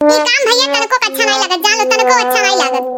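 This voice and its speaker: A woman squeaks in a cartoonish character voice at a very fast pace. Her intonation is lively. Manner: plaintive, grumbling.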